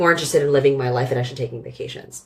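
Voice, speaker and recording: Noticeable noise fills the background. The voice carries an American accent. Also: woman. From US West Coast, San Francisco Bay Area. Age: 30s. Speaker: operations director. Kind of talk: casual chat.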